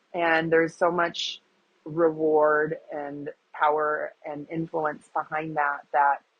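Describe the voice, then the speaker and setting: A woman speaks with a Wisconsin accent at a fairly low pitch. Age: 40s. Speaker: agriculture advocate and influencer. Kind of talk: interview.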